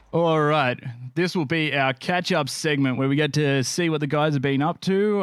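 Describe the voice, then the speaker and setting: Here a man speaks with an Australian accent at a moderate pace, his intonation fairly even. The recording is very clean with a silent background. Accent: Australian, nasal. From Australia, Canberra area. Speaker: podcast host and streamer. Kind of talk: casual chat.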